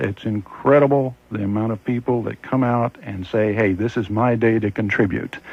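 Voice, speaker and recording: At a moderate pace, a man talks in a normal speaking voice, medium-pitched, with ordinary pitch variation. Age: 60s. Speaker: fair master of ceremonies. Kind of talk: radio interview.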